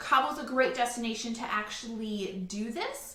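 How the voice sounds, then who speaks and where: A woman speaks in a raised, projected voice with an animated tone. Audible room echo and noticeable background noise fill the recording. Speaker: travel agent. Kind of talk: virtual presentation.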